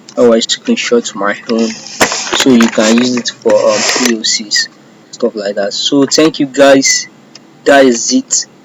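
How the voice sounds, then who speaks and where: Someone speaks at a very slow pace against noticeable background noise. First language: not English. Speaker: cybersecurity intern. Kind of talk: screen-share tutorial. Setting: self-recorded screen recording. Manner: halting.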